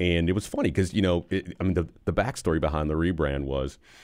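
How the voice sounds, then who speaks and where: A man with an American accent speaks very fast in a very deep, low pitch with vocal fry. His pitch varies in an ordinary way, and the recording is very clean with a silent background. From Western New York (Buffalo). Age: 50s. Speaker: construction company executive. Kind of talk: casual interview.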